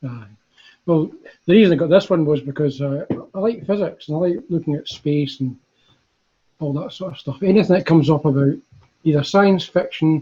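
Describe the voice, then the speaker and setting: A man talks at a moderate pace in a fairly high pitch, his voice somewhat breathy and dark and mellow in tone, with ordinary pitch variation. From Scotland, Glasgow. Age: old. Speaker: retired engineer. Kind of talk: casual chat.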